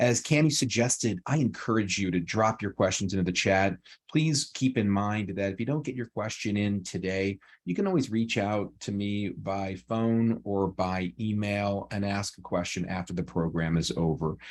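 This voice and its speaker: The speaker is a man with a fairly low pitch. His pitch varies in an ordinary way. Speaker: employment attorney. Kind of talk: webinar presentation. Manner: fast.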